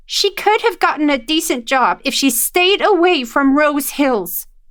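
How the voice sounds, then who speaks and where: Putting on a character voice, a woman speaks at a high pitch with very wide pitch swings, a moderate pace and very even loudness, in a very clean recording with a silent background. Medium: read story.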